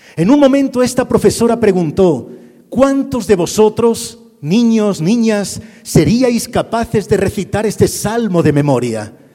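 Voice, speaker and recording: A fairly slow delivery in a Castilian accent, with ordinary pitch variation and noticeable background noise. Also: man. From Spain, Madrid. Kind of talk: sermon. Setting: church with audience.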